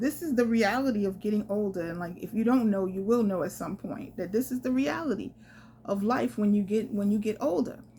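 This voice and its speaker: A woman speaks fairly quickly in a dark, mellow tone. Her voice is somewhat breathy, with ordinary pitch variation. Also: medium pitch for a woman. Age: 50s. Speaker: solo traveler and travel vlogger. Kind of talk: casual storytelling to camera.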